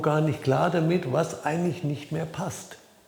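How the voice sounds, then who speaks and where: A man speaks at a moderate pace with ordinary pitch variation, with audible room echo and noticeable background noise. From Franconia, Germany. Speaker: life coach. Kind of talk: talking-head video. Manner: hesitant, with fillers.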